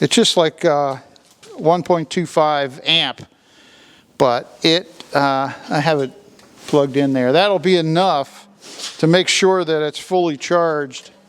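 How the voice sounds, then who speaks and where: A man with a fairly high pitch and ordinary pitch variation talks very slowly, with long, frequent pauses and noticeable background noise. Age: 60s. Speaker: farmer. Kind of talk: casual chat.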